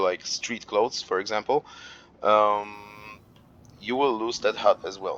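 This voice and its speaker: Someone with a non-native accent talks at a moderate pace in a dry, close sound with no echo. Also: man. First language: not English. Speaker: gaming youtuber. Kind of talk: gameplay tutorial. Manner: hesitant, many fillers.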